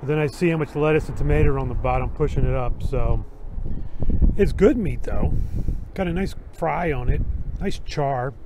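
A man at a moderate pace, in a dry recording with no echo and noticeable background noise. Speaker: food reviewer. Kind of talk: casual food review vlog. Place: street. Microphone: phone near.

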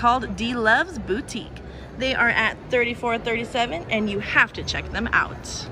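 Music plays in the background as a woman with a high pitch speaks at a fairly slow pace in an animated, enthusiastic tone. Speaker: vlogger. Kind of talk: promo tour guide walkthrough, upbeat vlog-style sales pitch. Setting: convention center, on location. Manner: animated, enthusiastic, cheerful; brisk, listing booths and numbers.

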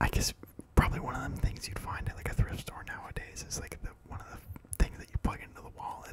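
Whispering, a man talks at a fairly quick pace. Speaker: ASMR creator. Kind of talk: ASMR. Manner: whispered. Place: home room. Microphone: handheld.

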